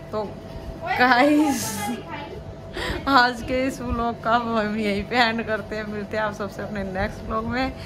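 A woman's very slow speech with hardly any pauses and ordinary pitch variation, over noticeable background noise. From Haryana. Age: 40s. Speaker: vlogger. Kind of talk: casual chat. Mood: cheerful, laughing. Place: home room. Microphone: phone near.

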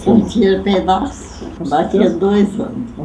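A woman talks over noticeable background noise. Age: 80s+. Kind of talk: interview answer. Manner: cheerful. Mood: cheerful, lively. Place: home room.

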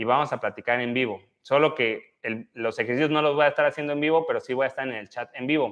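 A man talks at a fairly quick pace in a fairly high pitch with ordinary pitch variation. The background is quiet. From Mexico, Oaxaca (central valleys). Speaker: physiotherapist leading exercise livestreams; physiotherapist streamer. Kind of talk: live exercise class with chat reading. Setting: livestream. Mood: warm, grateful. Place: gym. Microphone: lapel.

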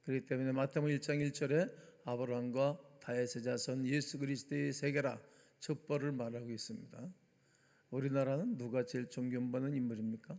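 A man with a normal speaking voice talks at a fairly quick pace, his medium pitch held in fairly even intonation. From South Korea, Gimpo, Gyeonggi. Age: 60s. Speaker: pastor. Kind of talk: sermon.

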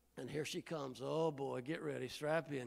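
A plain, everyday voice, a man with an American accent, fairly high-pitched, fairly quick pace, quiet background. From Indiana, US Midwest. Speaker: guest preacher. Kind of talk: sermon. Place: church. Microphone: handheld.

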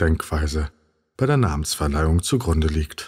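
Somewhat breathy, a man speaks in a calm, soothing tone with lively intonation in a very clean recording against a silent background. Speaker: narrator of a sleep podcast. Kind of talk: sleep story narration, informative encyclopedic reading.

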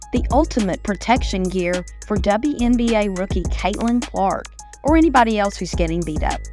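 With music in the background, a woman speaks at a moderate pace in an upbeat tone. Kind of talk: TV commercial read. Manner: upbeat, salesy.

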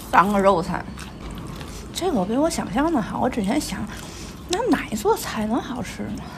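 A woman with a Tianjin accent speaks at a moderate pace and a fairly high pitch, her pitch swinging very widely. She leaves long, frequent pauses over noticeable background noise. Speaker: food vlogger. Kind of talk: casual restaurant review vlog. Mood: cheerful, chatty. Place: cafe. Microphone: phone near.

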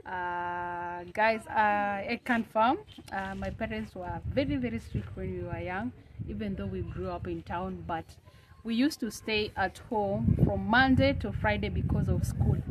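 Noticeable background noise accompanies a woman who speaks fairly slowly. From Kenya. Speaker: YouTuber; vlogger. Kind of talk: casual chat. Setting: outdoors. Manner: animated. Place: street.

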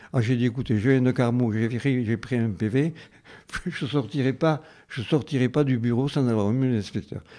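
A man's dark, mellow tone at a moderate pace, ordinary pitch variation, quiet background. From southern France, Carmaux (Tarn); southern France. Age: old. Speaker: retired teacher. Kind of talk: radio interview, reminiscing. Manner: halting, repetitive.

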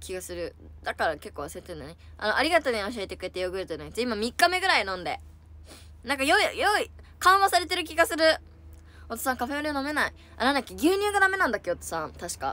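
A woman speaks in a high, raised and projected voice at a very fast pace, animated, with very wide pitch swings and big jumps in loudness, in a dry recording with no echo. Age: 20s. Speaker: idol livestreamer. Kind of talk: casual chat. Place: home room. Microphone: phone near.

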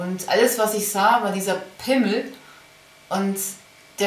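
A woman speaks at a fairly slow pace. Audible room echo and light background noise surround her voice. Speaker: diary vlogger. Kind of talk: personal diary monologue. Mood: quiet, heavy, reflective. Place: home room. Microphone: webcam.

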